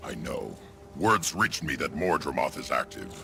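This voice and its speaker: Over clear music in the background, a put-on character voice moves at a moderate pace. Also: man, very deep, low pitch for a man. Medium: machinima. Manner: gruff, commanding.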